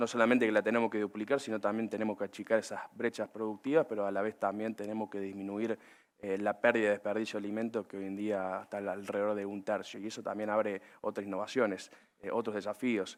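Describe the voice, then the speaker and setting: A man with a Córdoba accent talks at a very fast pace and a fairly low pitch. His intonation is monotone and flat. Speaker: agribusiness panelist. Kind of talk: panel discussion. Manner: hesitant with many fillers.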